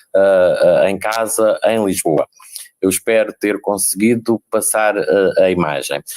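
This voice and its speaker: A man speaks at a very slow pace, his voice recorded with a dry, close sound and no echo. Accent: inland Portuguese. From inland Portugal. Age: 60s. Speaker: special education teacher and lecturer. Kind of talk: panel talk. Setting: video call from home. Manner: halting.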